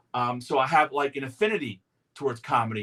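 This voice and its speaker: A man talks with a fairly high pitch and a bright, sharp tone. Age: 60s. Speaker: talk show host. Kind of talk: casual chat. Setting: outdoors on a porch.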